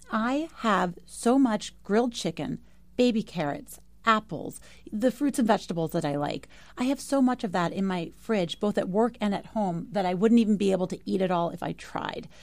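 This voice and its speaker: A woman's plain, everyday voice with an American accent, medium pitch, lively intonation and a moderate pace, on a very clean recording with a silent background. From New York. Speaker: fitness entrepreneur. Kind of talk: casual chat.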